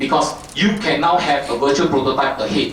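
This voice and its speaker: A man talks at a fairly quick pace with lively intonation. The room echoes audibly, and there's noticeable background noise. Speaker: company technical presenter. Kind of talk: technical talk. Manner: fast; halting, many fillers.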